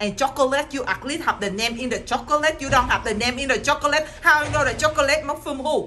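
Over light background noise, a woman talks in a raised, projected voice at a very fast pace, with ordinary pitch variation and hardly any pauses. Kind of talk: scripted comedy dialogue. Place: home room. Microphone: phone near.

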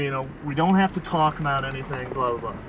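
Over light background noise, a man talks with lively intonation in a dry sound with no echo. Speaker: storyteller. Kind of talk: casual monologue in a car. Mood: exasperated, sarcastic. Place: car. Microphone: old recording.

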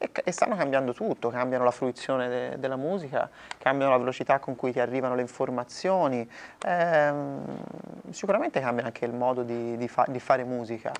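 With a slight Florentine accent, a man talks fairly quickly and with ordinary pitch variation over light background noise. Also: medium pitch for a man. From Italy, Florence; Italy. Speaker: singer-songwriter; interviewee. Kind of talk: interview. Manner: halting, many repetitions. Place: hall. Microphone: lapel.

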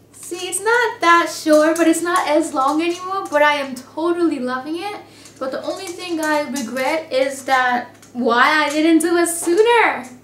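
A woman talks at a fairly slow pace with a high pitch and lively intonation. Audible room echo surrounds her voice. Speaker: beauty vlogger. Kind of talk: casual vlog. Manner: animated. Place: home room. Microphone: webcam.

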